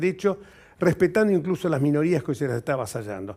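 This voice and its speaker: Lively intonation and a dark, mellow tone come through on a very clean recording with a silent background. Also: man. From Argentina, Buenos Aires. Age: 70s. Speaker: politician and lawyer. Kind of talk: TV interview.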